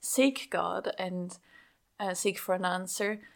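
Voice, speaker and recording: A woman speaks very slowly with a Swiss German accent. The recording is very clean, with a silent background. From Switzerland (Schaffhausen). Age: young. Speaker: pastor. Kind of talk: interview.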